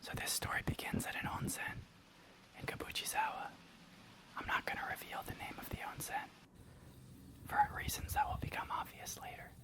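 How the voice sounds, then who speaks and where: Whispering in a relaxed tone at a fairly quick pace, a man leaves long, frequent pauses over noticeable background noise. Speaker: tea ASMR creator and storyteller. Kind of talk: close-whisper ASMR story time, outdoor. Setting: outdoors in Japan with nature sounds. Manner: soft, whispered, intimate, relaxed, chatty.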